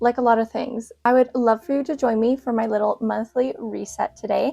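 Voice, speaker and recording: A woman with a Canadian accent, fairly high in pitch with fairly even intonation, in a dry, close sound with music in the background. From Canada. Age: 20s. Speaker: lifestyle vlogger. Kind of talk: casual vlog chat.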